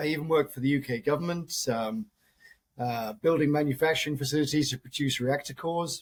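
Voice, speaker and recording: A man with a British accent speaks in a somewhat breathy, fairly high voice, captured in a very clean recording with a silent background. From UK. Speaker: mining company CEO. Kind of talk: interview.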